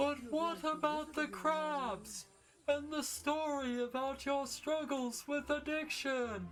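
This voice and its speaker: A cartoonish character voice, high in pitch, moves along at a fairly slow pace. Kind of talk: gentle children's cartoon voice. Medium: machinima. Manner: meek, polite, wondering.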